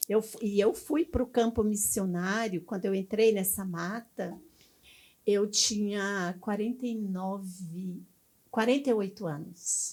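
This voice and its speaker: Her medium-pitched voice comes out at a very slow pace as a woman speaks. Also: ordinary pitch variation, very clean recording, silent background. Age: 70s. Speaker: missionary pastor. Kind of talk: interview.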